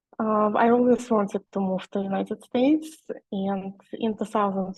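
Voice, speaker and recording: A somewhat breathy woman with a Russian accent, medium pitch, ordinary pitch variation and a moderate pace. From Russia, Nizhny Novgorod. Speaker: e-commerce seller. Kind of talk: webinar presentation. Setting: video call webinar. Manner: halting, many fillers.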